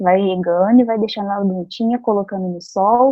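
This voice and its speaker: A woman speaks at a moderate pace in a plain, everyday voice of medium pitch with ordinary pitch variation. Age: 20s. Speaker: psychologist and youth club trainer. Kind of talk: training lecture.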